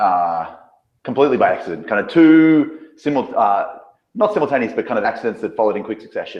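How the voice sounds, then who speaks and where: This man talks at a very fast pace in an Australian accent, his fairly high pitch swinging very widely and dipping into vocal fry. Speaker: business coach. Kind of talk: interview on video call.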